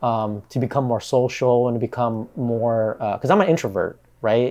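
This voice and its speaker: Speaking in a Pacific Northwest accent, the man has a medium pitch and a dark, mellow tone. His pace is fairly slow. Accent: American (Pacific Northwest). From Bellingham, Washington (Vietnamese refugee family). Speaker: entrepreneur. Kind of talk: casual chat.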